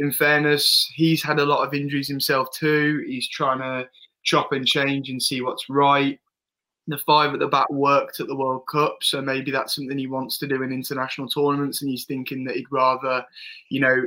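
Fairly quick and fairly high-pitched, a man speaks in a bright, sharp tone. His intonation is flat and monotone. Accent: English. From England. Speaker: football podcast co-host. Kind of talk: casual chat. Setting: studio with camera.

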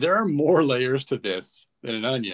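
A man with a plain, everyday voice speaks at a moderate pace and a fairly high pitch. The sound is dry and close, with no echo. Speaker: podcast host. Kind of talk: casual sports podcast chat. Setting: remote recording, online audio call.

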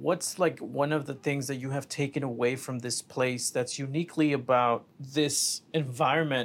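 Here is a man with an unremarkable speaking voice and a fairly high pitch. He keeps a moderate pace and fairly even intonation. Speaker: podcast host. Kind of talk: casual interview chat.

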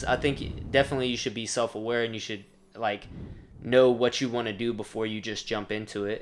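This man has a normal speaking voice. His pitch is medium. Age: 20s. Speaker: personal trainer and company CEO. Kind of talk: casual chat.

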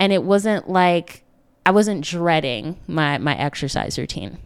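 An unremarkable speaking voice belongs to a woman with lively intonation at a fairly slow pace. The recording is very clean, the background silent. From upstate New York. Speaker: wellness coach and podcast host. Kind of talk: solo podcast talk.

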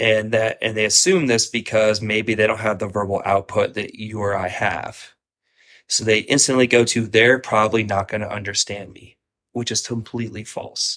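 On a very clean recording with a silent background, a man with an American accent uses an unremarkable speaking voice, fairly low in pitch, with fairly even intonation, big swings in loudness and a moderate pace. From Ohio, US Midwest. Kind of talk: casual chat.

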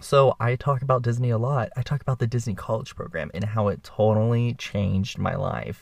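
A somewhat breathy man at a fairly quick pace, hardly any pauses, and a quiet background. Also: medium pitch for a man. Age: 20s. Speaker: podcast host. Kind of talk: casual monologue. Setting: makeshift studio in a bedroom closet. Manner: animated.

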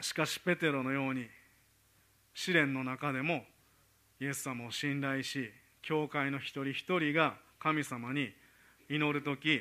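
A man with a fairly high pitch and a bright, sharp tone speaks at a fairly slow pace with long, frequent pauses and fairly even intonation, on a very clean recording with a silent background. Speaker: preacher. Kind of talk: sermon.

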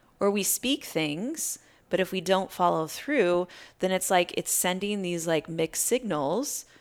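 On a very clean recording with a silent background, a woman with an American accent speaks fairly slowly. Hers is an unremarkable speaking voice with lively intonation. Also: medium pitch for a woman. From US Midwest, Iowa. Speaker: life coach and yoga teacher. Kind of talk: casual interview. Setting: in person.

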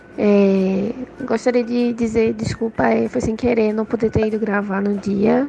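A woman speaks at a fairly slow pace with a fairly high pitch and fairly even intonation, over noticeable background noise. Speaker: podcast team member, topic researcher. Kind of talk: recorded voice message.

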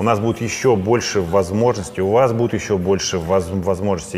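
A man talks at a fairly quick pace in a fairly low pitch with ordinary pitch variation, over noticeable background noise. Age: 40s. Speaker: private investor and trader, channel host. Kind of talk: casual monologue to camera.

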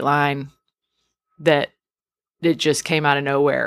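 With an American accent, a woman speaks at a fairly slow pace on a very clean recording with a silent background. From Texas, outside Houston. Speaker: singer-songwriter. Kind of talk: casual interview chat. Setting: music venue.

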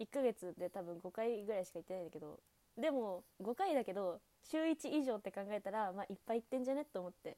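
A woman's dark, mellow tone at a very fast pace, in a dry, close sound with no echo. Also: medium pitch for a woman, lively intonation. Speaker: student radio host. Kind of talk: casual chat. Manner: soft, relaxed purring tone.

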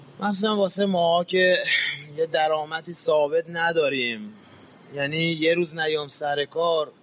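A man's fairly high voice at a fairly slow pace, very even in loudness, with ordinary pitch variation and noticeable background noise. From Iran, Mashhad. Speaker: street shoemaker. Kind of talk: interview testimony.

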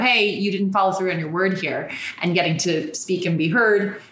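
A woman with an American accent at a fairly quick pace, with noticeable background noise. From Ireland, then New York. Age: 30s. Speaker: podcast host and heartbreak coach. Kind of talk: casual chat interview. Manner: animated, talkative.

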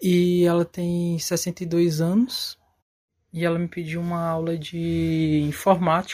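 A man speaks very slowly at a high pitch. His intonation is monotone and flat. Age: 20s. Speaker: electronics technician. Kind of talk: recorded testimony.

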